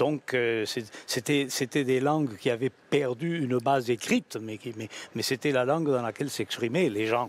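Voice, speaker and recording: Recorded with a dry, close sound and no echo, a man speaks at a medium pitch and a moderate pace with ordinary pitch variation. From Spain. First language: Spanish (speaking French). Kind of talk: radio debate. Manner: halting, many repetitions.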